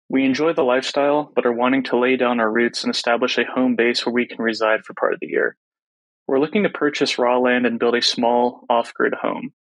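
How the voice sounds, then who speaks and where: Using a normal speaking voice, a man speaks at a fairly quick pace with fairly even intonation. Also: medium pitch for a man. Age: 30s. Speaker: caller. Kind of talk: recorded voicemail question.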